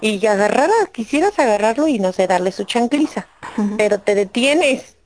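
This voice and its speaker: An ordinary speaking voice from a woman, fairly high in pitch with ordinary pitch variation, very even loudness and a moderate pace. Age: 40s. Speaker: YouTube video creator, divorced mother. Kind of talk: interview testimony.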